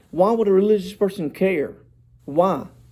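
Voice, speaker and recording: With a Southern US accent, a man speaks at a moderate pace in a dark, mellow tone. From US South, South Georgia. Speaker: doctoral student presenting dissertation proposal. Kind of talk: academic presentation. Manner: formal.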